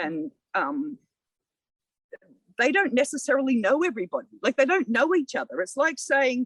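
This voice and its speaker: A woman in an Australian accent, high-pitched, lively in intonation, at a moderate pace with long, frequent pauses, in dry, close sound with no echo. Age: 60s. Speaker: local councillor. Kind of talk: podcast interview. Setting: outdoors in a community garden.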